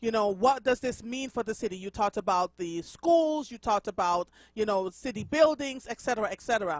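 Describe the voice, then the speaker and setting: Fairly high in pitch, a woman talks at a fairly quick pace with lively intonation and a slight Jamaican accent. The recording is very clean and dry, close with no echo and a silent background. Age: 50s. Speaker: radio host. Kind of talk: radio interview.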